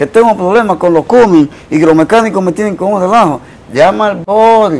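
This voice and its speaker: A man talks at a fairly quick pace. His pitch is high. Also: ordinary pitch variation. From Dominican Republic. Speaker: Dominican artist; interview guest. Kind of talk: interview storytelling. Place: studio. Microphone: lapel.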